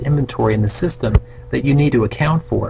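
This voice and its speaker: Noticeable background noise sits behind a man's voice. He speaks at a fairly quick pace with fairly even intonation. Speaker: real estate economist presenting webinar. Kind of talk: webinar presentation. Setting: online webinar. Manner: fast.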